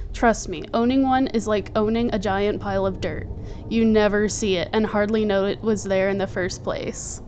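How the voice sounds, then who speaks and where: A woman speaks at a moderate pace in a medium pitch, with music playing in the background. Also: fairly even intonation. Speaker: snake keeper. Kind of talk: commentary voiceover. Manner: occasional stutter.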